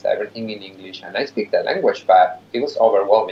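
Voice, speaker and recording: Noticeable noise can be heard behind the man as he talks. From Mexico, big city. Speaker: nonprofit executive director. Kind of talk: interview conversation.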